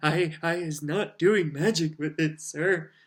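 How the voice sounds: A man puts on a squeaky character voice, fairly high in pitch and delivered at a fairly slow pace.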